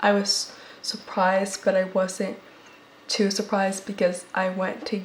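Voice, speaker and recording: Over noticeable background noise, a woman with an American accent speaks very slowly at a medium pitch, monotone and flat, leaving long, frequent pauses. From United States. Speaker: public health podcast host. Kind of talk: personal testimony in podcast monologue. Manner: halting, with repetitions.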